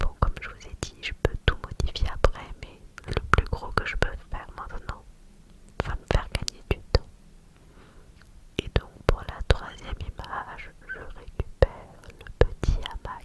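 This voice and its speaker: A woman whispers at a very slow pace with big swings in loudness and long, frequent pauses, over noticeable background noise. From France. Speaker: ASMR creator. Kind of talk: ASMR whispered screen-recording narration. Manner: whispered, soft, slow.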